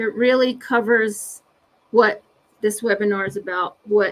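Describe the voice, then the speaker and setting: A woman talks with a fairly high pitch. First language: Navajo. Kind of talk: webinar presentation. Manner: halting, many fillers.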